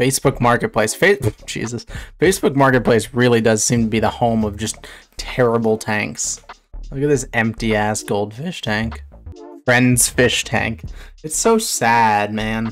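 Faint music plays behind a man who talks at a fairly slow pace, his loudness swinging widely while his pitch varies in an ordinary way. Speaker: streamer. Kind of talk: casual reaction commentary. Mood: amused, laughing often. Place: home room. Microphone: studio mic.

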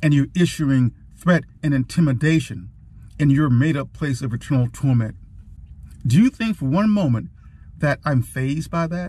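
A man speaks at a moderate pace in a dark, mellow, somewhat breathy tone, using ordinary pitch variation. His delivery has long, frequent pauses, and the sound is dry with no echo. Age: old. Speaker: war veteran. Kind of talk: casual talk to camera. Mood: firm, defiant. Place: car. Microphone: phone near.

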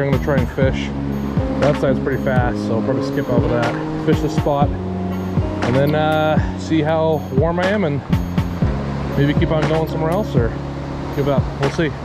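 Clear music plays in the background as the speaker moves at a moderate pace with long, frequent pauses, the sound dry with no echo. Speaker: angler vlogger. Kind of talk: casual vlog chat. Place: waterside. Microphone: phone near.

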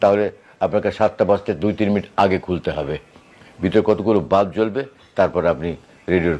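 A man talks with a dark, mellow tone at a fairly low pitch. His pitch varies in an ordinary way. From Bangladesh, Khulna. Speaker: voice artist and broadcaster. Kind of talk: interview.

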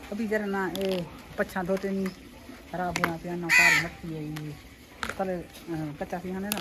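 Fairly low-pitched with a bright, sharp tone, a woman speaks at a moderate pace with fairly even intonation over faint background noise.

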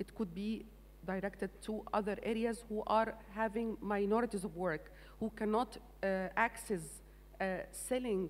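A woman with an Arabic accent speaks at a fairly slow pace. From Egypt. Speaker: agricultural development manager; panelist. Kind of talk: panel discussion. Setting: stage with audience. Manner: halting. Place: stage. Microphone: handheld.

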